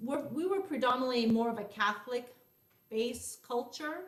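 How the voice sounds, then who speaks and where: A woman with a Montreal accent speaks at a high pitch with ordinary pitch variation. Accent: Montreal Canadian English. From Montreal, Quebec. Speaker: life coach. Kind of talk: casual chat.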